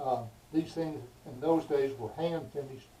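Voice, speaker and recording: Noticeable background noise sits behind a man with an American accent. He speaks at a fairly slow pace and a fairly high pitch. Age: 70s. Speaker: YouTuber. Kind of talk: casual vlog tutorial. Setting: workshop. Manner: casual, halting with fillers.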